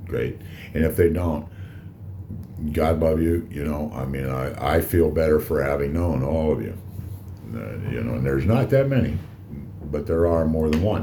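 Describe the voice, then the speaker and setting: A man's very deep, low voice at a moderate pace with long, frequent pauses and ordinary pitch variation, amid audible room echo and noticeable background noise. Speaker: cigar reviewer and vlogger. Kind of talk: casual monologue vlog. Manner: loud; halting, many fillers.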